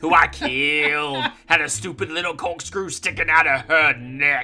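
Faint music plays behind a man with a Southern US accent and a smug tone. His pitch is fairly high with ordinary variation, and he speaks at a moderate pace. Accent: American Southern. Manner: smug, taunting.

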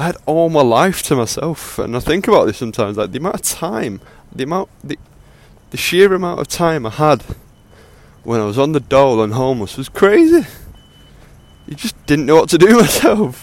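A man speaks in a fairly high voice with very wide pitch swings. He leaves long, frequent pauses. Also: fairly quick pace. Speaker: podcaster. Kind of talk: casual monologue. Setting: outdoors on a walk, recorded on earphone mic. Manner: casual, unscripted.

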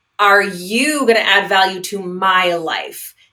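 Her pace is fairly slow, with medium pitch. This woman has an ordinary speaking voice. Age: 40s. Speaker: divorce recovery coach. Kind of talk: interview.

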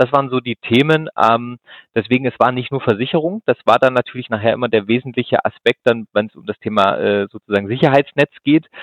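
At a fairly quick pace, a man speaks with ordinary pitch variation and big swings in loudness. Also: medium pitch for a man. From Swabia, southern Germany (Ulm). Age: 30s. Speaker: insurance executive. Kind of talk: interview. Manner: hesitant, many fillers.

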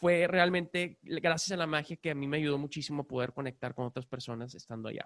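A man with a plain, everyday voice speaks at a fairly quick pace in a fairly high pitch. His pitch varies in an ordinary way, and the sound is dry and close with no echo. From Mexico, Monterrey. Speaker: magician and mentalist. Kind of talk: casual chat.

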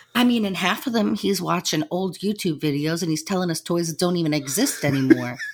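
Over noticeable background noise, a woman talks at a fairly quick pace in a fairly low pitch with lively intonation. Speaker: podcast co-host. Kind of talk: casual chat.

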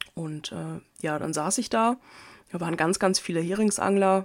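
In a very clean recording with a silent background, a normal speaking voice moves at a moderate pace with ordinary pitch variation. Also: woman. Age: 30s. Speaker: podcast host, angler. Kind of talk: casual monologue. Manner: casual, many filler sounds.

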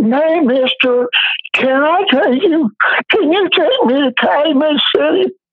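A man's put-on character voice, extremely high in pitch, at a very slow pace with long, frequent pauses. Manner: pleading.

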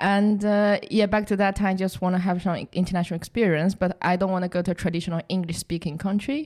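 With a Chinese accent, a woman speaks at a medium pitch and a very fast pace, with hardly any pauses, fairly even intonation and very even loudness, on a very clean recording with a silent background. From southern China. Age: 20s. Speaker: recent graduate and operations analyst. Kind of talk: interview.

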